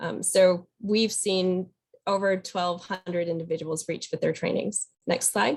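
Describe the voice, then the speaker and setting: A woman speaks in an ordinary speaking voice at medium pitch. Her intonation is fairly even and her pace fairly slow. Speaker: state program presenter. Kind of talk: webinar data presentation. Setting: webinar.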